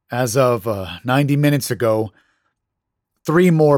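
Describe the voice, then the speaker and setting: Recorded very cleanly with a silent background, a man speaks at a fairly slow pace with lively intonation. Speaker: horror story narrator. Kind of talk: dramatic horror narration, reading a story aloud. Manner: theatrical, spooky, dramatic.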